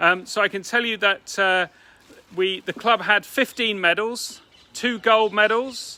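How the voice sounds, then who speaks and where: A man speaks in a high, raised and projected voice with an English accent, his tone bright and sharp. His intonation stays fairly even at a fairly slow pace, and the sound is dry and close with no echo. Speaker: athletics club president. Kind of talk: club meeting announcements. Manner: subdued; hesitant.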